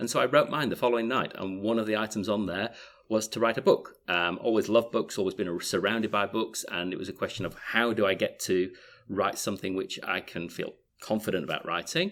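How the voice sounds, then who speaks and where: In a very clean recording with a silent background, a man with a fairly low pitch talks at a fairly quick pace with ordinary pitch variation. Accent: strong Yorkshire. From Yorkshire, northern England. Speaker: author and business advisor. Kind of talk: interview.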